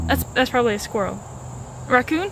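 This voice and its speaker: A woman speaks at a high pitch with lively intonation. Music plays in the background, and the sound is dry with no echo. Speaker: hiker vlogger. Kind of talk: casual vlog chat. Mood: playful, mock-nervous. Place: forest. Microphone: phone near.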